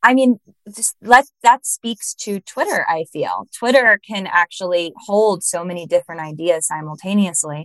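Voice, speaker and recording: A woman at a medium pitch speaks at a moderate pace with lively intonation and big swings in loudness. It is an unremarkable speaking voice, recorded dry and close with no echo. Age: 30s. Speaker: podcast host, astrologer. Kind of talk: casual interview chat.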